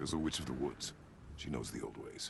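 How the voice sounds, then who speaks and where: Over clear background noise, a man rattles off lines in a put-on character voice at a very fast pace. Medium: video game. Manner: terse, stern.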